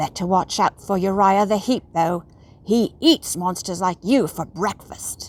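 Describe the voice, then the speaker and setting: Using a put-on character voice at a medium pitch, a woman speaks at a fairly slow pace on a very clean recording with a silent background. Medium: read story. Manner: sulky.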